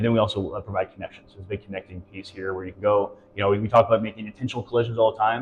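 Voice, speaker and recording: A man talks very fast in a fairly low, monotone voice with flat intonation. His loudness swings widely. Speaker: local business operations director. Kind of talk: interview. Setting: on location at a coworking space.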